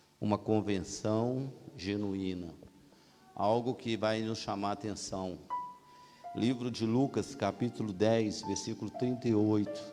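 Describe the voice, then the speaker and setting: With music in the background, a man of fairly low pitch talks at a very slow pace, pausing long and often. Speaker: preacher. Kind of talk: sermon.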